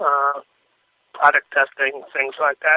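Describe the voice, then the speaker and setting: A man's fairly high, bright, sharp voice in a flat monotone, with a dry, close sound and no echo. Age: 70s. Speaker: motorcycle photojournalist. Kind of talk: radio interview.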